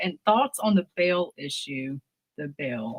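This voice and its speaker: A woman's fairly low voice with a Southern US accent and lively intonation, at a fairly slow pace, in a dry, close sound with no echo. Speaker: political interviewer. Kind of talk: interview.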